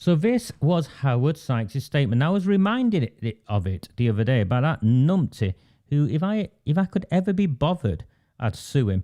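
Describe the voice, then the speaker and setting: In a Lancashire accent, a man speaks at a fairly high pitch with very wide pitch swings, a dark, mellow tone and very even loudness, in a dry, close sound with no echo on a very clean recording with a silent background. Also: moderate pace. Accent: Oldham accent, unchanged. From northern England, Oldham. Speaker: online political broadcaster and activist. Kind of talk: political discussion show. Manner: halting, with frequent fillers and restarts.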